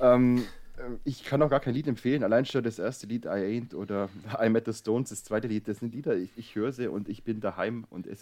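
A man with a normal speaking voice, moderate pace and ordinary pitch variation. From Swabia. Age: 30s. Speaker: newspaper editor, co-host. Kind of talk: casual chat.

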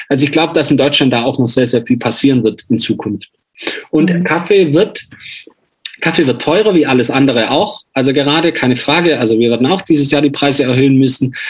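Very fast and at a fairly high pitch, a man speaks with ordinary pitch variation. His loudness stays very even throughout. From Swabia, Germany (near Kirchheim unter Teck). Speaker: coffee roaster and former hardcore singer. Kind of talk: interview.

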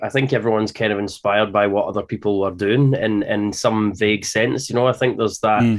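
With a Scottish accent, a man speaks at a medium pitch with ordinary pitch variation. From Scotland. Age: 30s. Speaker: metal drummer. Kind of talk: interview.

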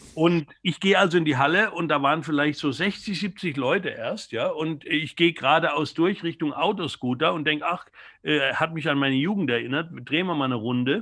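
The speaker uses an ordinary speaking voice with ordinary pitch variation. The pace is fairly quick. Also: man. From Germany, near Mannheim. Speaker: music journalist. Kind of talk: interview.

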